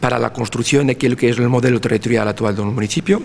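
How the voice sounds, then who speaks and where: This man has a Portuguese accent and a medium pitch. Noticeable background noise runs behind him. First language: Portuguese (speaking Spanish). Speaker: university researcher in territorial planning. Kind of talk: conference lecture. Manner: halting, with fillers and restarts.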